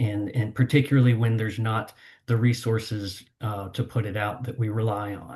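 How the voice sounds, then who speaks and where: Against a quiet background, a man with a medium pitch and a somewhat breathy voice speaks at a moderate pace in a monotone, flat intonation. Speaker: water-supply engineer presenting. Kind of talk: seminar presentation. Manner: hesitant, with fillers and repetitions.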